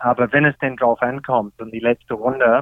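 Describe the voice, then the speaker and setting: A man at medium pitch with an English accent, talking at a fairly slow pace. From Australia. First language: English (speaking German). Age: 50s. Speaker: golf pro and senior tour player. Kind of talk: interview. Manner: hesitant, many fillers.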